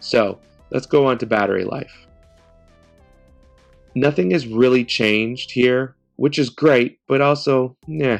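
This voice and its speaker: A man speaks at a medium pitch with ordinary pitch variation while music plays in the background. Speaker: tech reviewer. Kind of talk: product review talk to camera.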